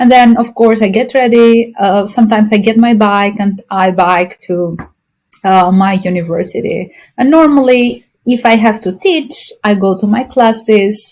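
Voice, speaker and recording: Fairly slow speech with an Albanian accent. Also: woman. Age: 30s. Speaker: university professor. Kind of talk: podcast interview.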